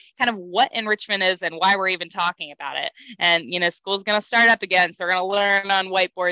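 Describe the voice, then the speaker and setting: Over a quiet background, a woman with a bright, sharp tone talks at a very fast pace, the sound dry with no echo. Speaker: aquarium educator. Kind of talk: online lesson for kids. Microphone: headset.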